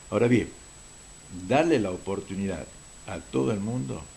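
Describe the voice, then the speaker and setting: A man with a very deep, low voice, a dark, mellow tone and vocal fry speaks at a moderate pace with audible room echo. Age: 70s. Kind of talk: TV talk show interview.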